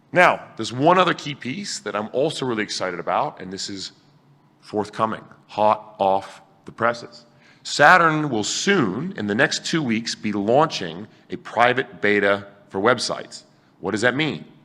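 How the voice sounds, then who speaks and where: A man talks at a moderate pace in a bright, sharp, animated tone. His intonation is lively, and his loudness swings widely. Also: medium pitch for a man. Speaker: tech conference speaker. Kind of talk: conference talk.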